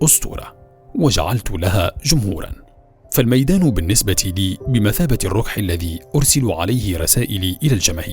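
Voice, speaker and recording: Over music in the background, a man speaks at a fairly slow pace with lively intonation. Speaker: voice-over artist. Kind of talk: documentary narration.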